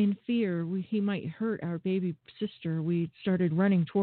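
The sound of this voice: An unforced reading voice carries the passage.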